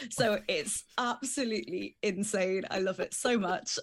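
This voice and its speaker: A woman speaks in an English Midlands accent at a fairly high pitch with ordinary pitch variation. The recording is very clean, with a silent background. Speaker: podcast co-host, TV producer. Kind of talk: casual chat.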